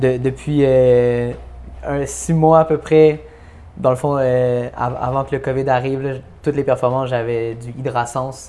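Against noticeable background noise, a man talks at medium pitch. His delivery is very slow, with monotone, flat intonation. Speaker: rapper. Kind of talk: casual chat.

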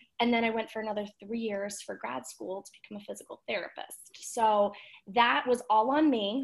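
A woman with an unremarkable speaking voice talks at a moderate pace, her fairly high pitch moving with ordinary variation while her loudness swings widely. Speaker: physical therapist and wellness influencer. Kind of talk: casual chat.

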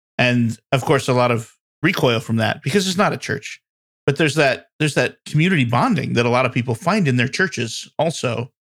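A man talks fairly quickly in a normal speaking voice. His pitch varies in an ordinary way, and his loudness stays very even. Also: medium pitch for a man. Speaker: podcast co-host. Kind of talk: casual chat.

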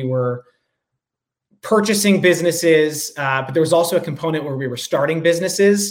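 Using an unremarkable speaking voice, a man with an American accent talks with ordinary pitch variation. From New York area (Rye, NY). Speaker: beverage company co-founder. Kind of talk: interview.

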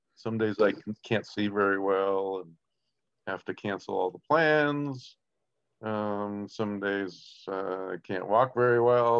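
The pace is very slow. Pitch varies in an ordinary way. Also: man. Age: 60s. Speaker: ski coach and former para alpine racer. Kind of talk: interview. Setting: phone call. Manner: halting.

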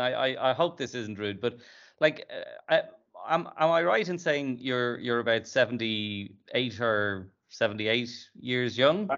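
This is an ordinary speaking voice, delivered at a moderate pace. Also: man. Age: 50s. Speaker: podcast host and company CEO. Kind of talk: interview.

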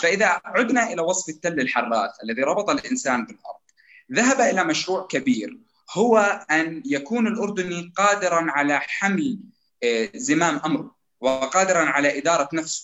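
A man with a Jordanian accent speaks at a fairly slow pace. His voice sits high and swings very widely in pitch. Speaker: political youth activist. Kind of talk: panel discussion. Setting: radio studio.

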